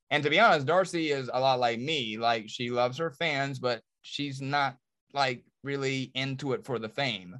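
A man speaks at a moderate pace in a bright, sharp tone. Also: medium pitch for a man, ordinary pitch variation, quiet background. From Charlotte, North Carolina. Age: 40s. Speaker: reality TV star and businessman.

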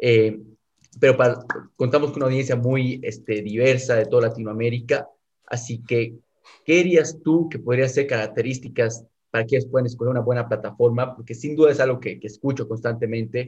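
A man talks at a fairly quick pace. His voice is somewhat breathy, with fairly even intonation. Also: medium pitch for a man. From South America. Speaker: podcast host. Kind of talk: interview. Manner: halting, frequent fillers.

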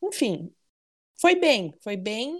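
Here a woman speaks at a very slow pace. Her pitch swings very widely. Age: 20s. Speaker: football fan club president. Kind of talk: casual chat.

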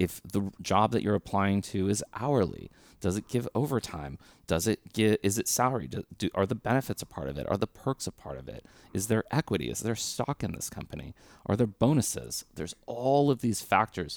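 A man with an American accent, lively intonation and some vocal fry, at a fairly quick pace, in a very clean recording with a silent background and a dry, close sound with no echo. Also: fairly low pitch for a man. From Southern California (LA / Orange County). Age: 30s. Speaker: tech recruiter. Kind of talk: podcast interview.

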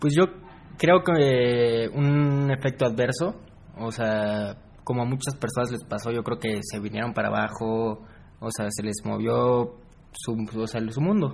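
At a fairly slow pace, a man with an unremarkable speaking voice talks at medium pitch with ordinary pitch variation. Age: 20s. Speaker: university student. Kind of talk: casual interview.

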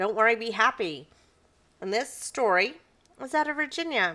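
Over a silent background in a very clean recording, a woman talks at a moderate pace. Her voice is fairly high, with a bright, sharp tone and very wide pitch swings. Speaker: podcast co-host. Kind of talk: casual chat.

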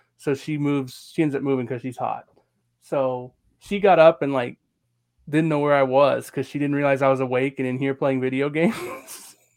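A man's unremarkable speaking voice, fairly high in pitch, with fairly even intonation at a fairly quick pace. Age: 40s. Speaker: wrestling podcast co-host. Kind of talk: casual chat.

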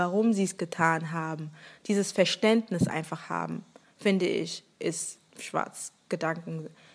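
The recording is very clean, with a silent background. A woman speaks at a fairly slow pace with ordinary pitch variation. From Germany, Rhineland-Palatinate. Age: 20s. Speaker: podcaster. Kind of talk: casual chat. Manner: hesitant, many fillers.

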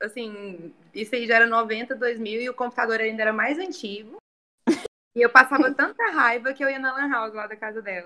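In a normal speaking voice at a moderate pace, the speaker uses ordinary pitch variation while the loudness swings widely. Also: woman, fairly high pitch for a woman. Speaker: journalist and tourism worker. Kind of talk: casual chat.

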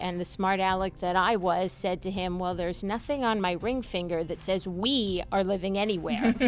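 A woman with a slight New York accent speaks at a medium pitch with music in the background. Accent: faint New York, in certain words. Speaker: family law attorney and mediator. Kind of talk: casual radio chat, interview.

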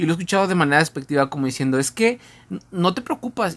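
The man's very wide pitch swings give his speech an animated tone. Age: 20s. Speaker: podcast co-host. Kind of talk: casual chat.

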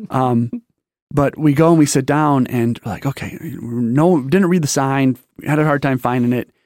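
A man with an American accent and an ordinary speaking voice, fairly high in pitch, at a moderate pace with ordinary pitch variation, dry and close with no echo on a very clean recording with a silent background. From Michigan, Detroit area. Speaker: military veteran, church member. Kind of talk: casual interview, life story testimony.

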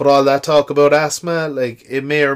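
A man with an Irish accent on a very clean recording with a silent background. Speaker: podcaster. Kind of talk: casual monologue. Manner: chatty, informal.

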